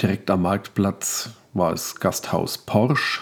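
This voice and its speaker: Speaking very slowly, a man uses a fairly low pitch with ordinary variation. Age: 40s. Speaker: podcaster. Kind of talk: casual solo monologue.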